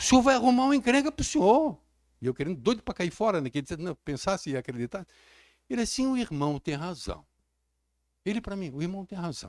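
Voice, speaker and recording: A high-pitched man talks at a very fast pace with very wide pitch swings and long, frequent pauses, in a dry, close sound with no echo. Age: 60s. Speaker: pastor. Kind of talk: sermon. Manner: animated.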